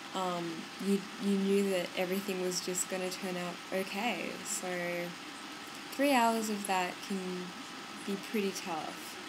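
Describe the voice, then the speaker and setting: Over noticeable background noise, a woman with an Australian accent talks at a very slow pace in a medium pitch, with fairly even intonation and long, frequent pauses. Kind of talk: casual movie review to camera. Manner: casual, rambling.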